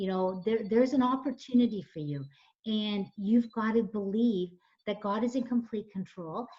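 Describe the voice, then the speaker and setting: A woman speaks at a moderate pace with a fairly high pitch and ordinary pitch variation. Her tone is dark and mellow, and her voice is somewhat breathy. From Canada. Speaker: nonprofit founder and coach. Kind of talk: radio interview. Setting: radio show. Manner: animated.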